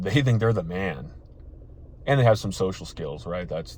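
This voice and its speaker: The voice is somewhat breathy and animated in tone. Audible room echo surrounds it. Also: man. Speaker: dating advice youtuber. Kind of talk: motivational vlog talk. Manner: occasional stutter; casual, animated.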